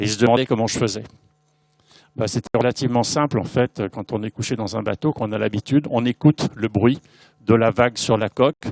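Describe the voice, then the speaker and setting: The recording is very clean with a silent background and a dry, close sound with no echo, and the speech moves at a fairly quick pace with fairly even intonation. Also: man, medium pitch for a man. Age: 60s. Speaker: visually impaired amateur athlete. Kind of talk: conference panel talk. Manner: hesitant, many fillers.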